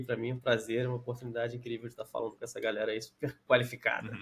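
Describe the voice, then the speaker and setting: A man's voice at medium pitch. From Brazil, Rio de Janeiro. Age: 30s. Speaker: tech company manager and entrepreneur. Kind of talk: casual interview.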